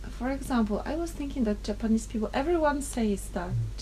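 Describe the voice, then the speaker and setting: A woman's voice with audible room echo. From Poland. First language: Polish. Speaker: interviewee. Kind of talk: casual chat.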